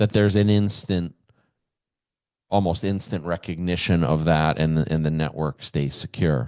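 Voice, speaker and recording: Against a quiet background, a man with a very deep, low pitch speaks at a moderate pace with ordinary pitch variation. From US Midwest, Kenosha, Wisconsin. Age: 60s. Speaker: podcast host. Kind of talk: solo podcast monologue. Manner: halting, with fillers and repetitions.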